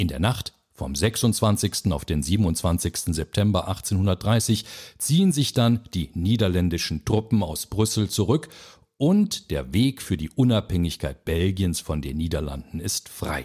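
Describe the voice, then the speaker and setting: Very slowly, a man speaks at a very deep, low pitch. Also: lively intonation. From Belgium. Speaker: podcast host. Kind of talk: scripted narration. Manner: formal.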